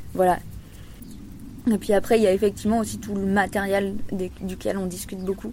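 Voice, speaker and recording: A woman's medium-pitched voice with a dark, mellow tone, monotone, flat intonation, a fairly quick pace and long, frequent pauses. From Loire, France. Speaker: farmer. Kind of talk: interview.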